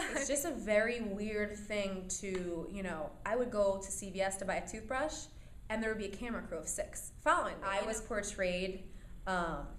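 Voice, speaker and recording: Heard with audible room echo, a woman talks at a moderate pace in a medium pitch with ordinary pitch variation. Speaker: reality TV alum and radio host. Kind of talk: interview. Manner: loud, energetic.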